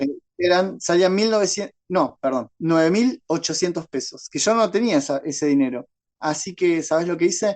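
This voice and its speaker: At a moderate pace, a man speaks in a high voice. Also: ordinary pitch variation. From Paraguay. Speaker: horror writer and secondary school teacher. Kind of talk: interview answer.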